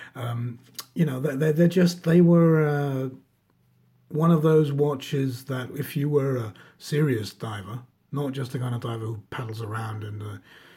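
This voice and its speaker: A man with a dark, mellow, somewhat breathy tone talks at a moderate pace and medium pitch, with ordinary pitch variation and big swings in loudness. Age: 40s. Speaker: watch reviewer, former diver. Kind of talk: casual show-and-tell video review. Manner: hesitant, many fillers and repetitions.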